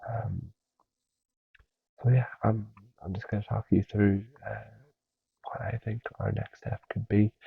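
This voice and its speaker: Soft-spoken and gentle in tone, a man talks at a fairly slow pace. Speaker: ASMR creator playing a personal trainer. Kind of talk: ASMR roleplay talk to a listener. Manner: soft-spoken, gentle, with frequent filler words.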